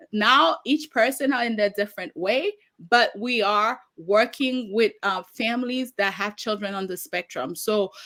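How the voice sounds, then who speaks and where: A woman with a Haitian accent, fairly high in pitch, fairly slow, with ordinary pitch variation. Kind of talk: interview.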